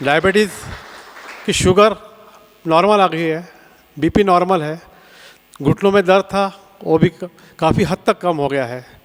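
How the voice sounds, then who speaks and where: Long, frequent pauses break up the speech, and noticeable background noise sits behind it. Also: man, high pitch for a man, ordinary pitch variation. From Nagpur, Maharashtra, India. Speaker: camp participant. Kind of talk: testimonial.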